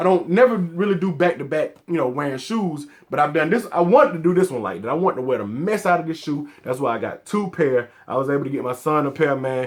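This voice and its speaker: Talking very fast in an American accent, a man with a fairly high voice sounds animated, his intonation lively. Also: hardly any pauses. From US South, Atlanta, Georgia. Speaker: sneaker collector YouTuber. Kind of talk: casual vlog talk to camera.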